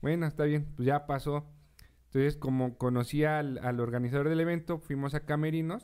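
Speaking at a moderate pace with very even loudness and fairly even intonation, a man uses a normal speaking voice. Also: fairly high pitch for a man. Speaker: radio podcast host. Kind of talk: casual interview.

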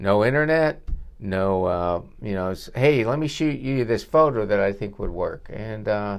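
With an unremarkable speaking voice, a man talks at a moderate pace and a medium pitch, his intonation lively. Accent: American. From northwestern Pennsylvania, US. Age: 60s. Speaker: dentist. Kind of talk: casual interview. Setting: dental office reception room.

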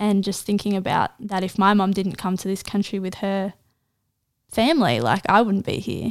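A very clean recording with a silent background: an Australian accent, ordinary pitch variation and a moderate pace. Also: woman, medium pitch for a woman. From Australia, Central Coast NSW. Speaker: university student and poet. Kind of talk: casual interview.

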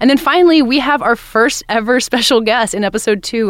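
This woman has an ordinary speaking voice. She talks at a fairly quick pace with lively intonation. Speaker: podcast host and entertainment editor. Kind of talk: casual interview and chat. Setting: studio.

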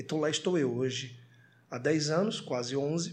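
Somewhat breathy and fairly high-pitched, a man speaks at a fairly slow pace. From Florianópolis, southern Brazil. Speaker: TV presenter and rapper. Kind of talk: podcast interview. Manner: animated.

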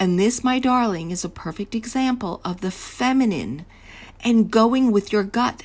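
The voice is somewhat breathy. It moves at a fairly slow pace with ordinary pitch variation. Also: woman. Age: 60s. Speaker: podcast host, confidence coach. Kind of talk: solo podcast monologue.

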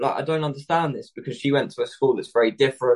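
Somewhat breathy and fairly high in pitch, a man talks at a very fast pace with a British accent. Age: 20s. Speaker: fashion entrepreneur. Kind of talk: interview.

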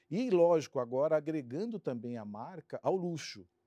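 Recorded very cleanly against a silent background, a man's dark, mellow voice sounds dry and close, with no echo. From São Paulo, Brazil (Santo André, ABC region). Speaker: marketing executive. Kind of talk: interview. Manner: halting.

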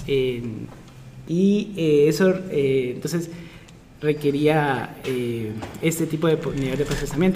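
A man speaks at a fairly high pitch. Noticeable background noise and audible room echo are present. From Guatemala. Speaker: pharmaceutical chemist and data scientist, lecturer. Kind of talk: casual interview.

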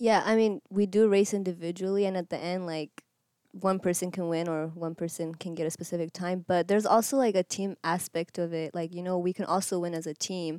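An ordinary speaking voice belongs to a woman with a fairly low pitch, talking at a fairly quick pace with fairly even intonation. The recording is very clean, with a silent background and a dry, close sound with no echo. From Eritrea and Kenya, moved to US at almost 11. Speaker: college cross country runner. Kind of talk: interview testimony.

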